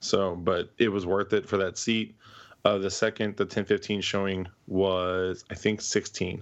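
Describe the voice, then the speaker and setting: Speaking at a fairly slow pace, the man uses a fairly low pitch and a monotone, flat intonation. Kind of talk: casual chat. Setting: video call.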